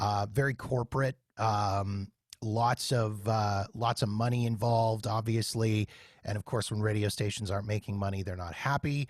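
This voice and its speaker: A man with an ordinary speaking voice talks at a moderate pace in a fairly low pitch, with fairly even intonation. The recording is very clean with a silent background, and the sound is dry and close with no echo. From Canada, Winnipeg. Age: 40s. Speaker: podcast host and former radio worker. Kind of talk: casual interview chat.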